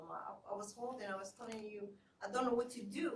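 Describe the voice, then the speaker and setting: A woman with a Somali accent speaks amid audible room echo. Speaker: therapist and community mental health advocate. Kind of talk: panel discussion. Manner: halting.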